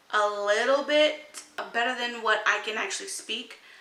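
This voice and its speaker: Fairly even in intonation, a woman's fairly high voice carries audible room echo. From United States, Mexican American. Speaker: vlogger. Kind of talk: casual vlog monologue.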